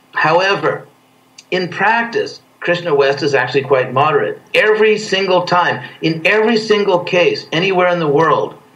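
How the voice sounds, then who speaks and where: With an American accent, a man talks at a moderate pace in a plain, everyday voice. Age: 60s. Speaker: spiritual teacher. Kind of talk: interview. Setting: video call.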